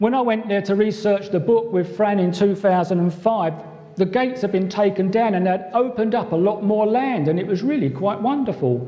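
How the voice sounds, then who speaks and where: Over noticeable background noise and audible room echo, a man with a London accent talks at a fairly quick pace and a high pitch, with ordinary pitch variation and very even loudness. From London (East End). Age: 60s. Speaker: conference speaker, musician and cartoonist. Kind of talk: conference talk with slides. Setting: hotel conference room with audience.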